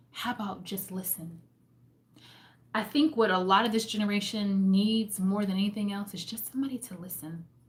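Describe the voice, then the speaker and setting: A woman's somewhat breathy, medium-pitched voice at a fairly quick pace, with ordinary pitch variation and big swings in loudness. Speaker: homemaking and faith vlogger. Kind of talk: live stream book discussion. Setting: live stream.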